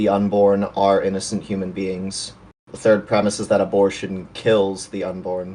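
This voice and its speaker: This man has an American accent and a fairly low pitch with a dark, mellow tone. He talks at a moderate pace with monotone, flat intonation. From US Midwest, Chicago area. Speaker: debater. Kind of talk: formal debate.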